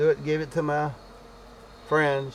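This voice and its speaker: Noticeable background noise is present throughout. Through it, a man speaks at a moderate pace. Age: 70s. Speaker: beekeeper. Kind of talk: tutorial. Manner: halting; casual.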